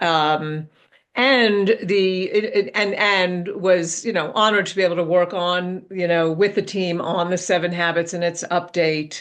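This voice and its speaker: A woman talks in a New York accent. Her pace is fairly slow. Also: medium pitch for a woman, fairly even intonation. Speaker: business author and executive. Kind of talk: podcast interview. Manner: halting.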